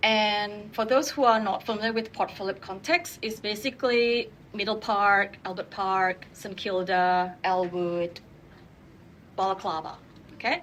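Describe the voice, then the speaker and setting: A woman at medium pitch with a non-native accent, fairly slow pace, and ordinary pitch variation. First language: not English. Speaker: urban designer. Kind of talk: panel discussion.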